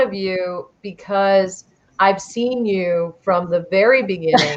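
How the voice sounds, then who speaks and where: At a very slow pace, a woman speaks at a medium pitch with ordinary pitch variation. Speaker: travel TV host. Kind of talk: casual chat. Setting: live video stream. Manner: loud; animated.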